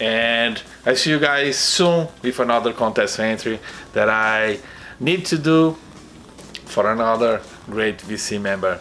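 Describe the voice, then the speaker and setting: A man with a non-native accent speaks at a fairly slow pace with long, frequent pauses and ordinary pitch variation, against noticeable background noise. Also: medium pitch for a man. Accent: non-native, self-described bad pronunciation. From Brazil. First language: Portuguese. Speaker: vinyl record YouTuber. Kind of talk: casual vlog contest entry. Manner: halting, many fillers.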